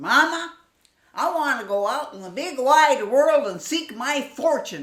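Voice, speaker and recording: A put-on character voice, high-pitched, at a fairly slow pace. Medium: read story. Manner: naive, boastful.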